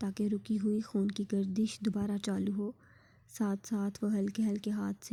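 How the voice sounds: The recording presents a natural reading voice.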